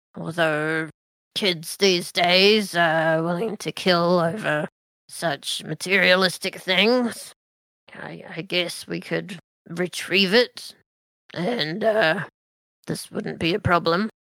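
A female-sounding put-on character voice, raspy at middle pitch, very slow with long, frequent pauses. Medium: actual play. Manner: dry, measured, authoritative.

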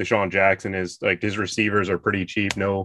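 This is an unremarkable speaking voice. A man talks at a fairly low pitch. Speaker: fantasy sports analyst. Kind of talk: casual sports podcast chat.

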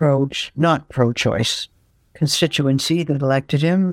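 Speaking with a Canadian accent, a woman has a very deep, low pitch and fairly even intonation. The recording is very clean with a silent background, with a dry, close sound and no echo. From Canada, Toronto. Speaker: actress. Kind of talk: interview.

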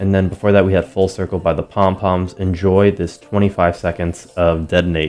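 Relaxed, monotone delivery with flat intonation at a moderate pace, hardly any pauses, and noticeable background noise. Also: man, very deep, low pitch for a man. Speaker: radio DJ. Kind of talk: casual radio DJ talk between songs. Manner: relaxed, conversational with many fillers.

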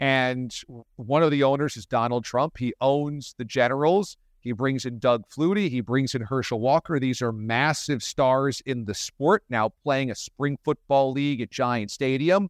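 Over a quiet background, dry and close with no echo, a man with an ordinary speaking voice talks at a fairly slow pace and medium pitch, with ordinary pitch variation and hardly any pauses. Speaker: podcast host and radio host. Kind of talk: casual interview.

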